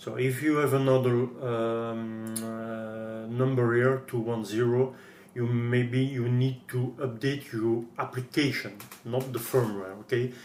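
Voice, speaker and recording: In a French accent, a man talks at a very slow pace with a medium pitch and monotone, flat intonation, and room echo is audible. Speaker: guitar gear tutorial maker. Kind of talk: tutorial. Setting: screen recording at PC. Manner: halting.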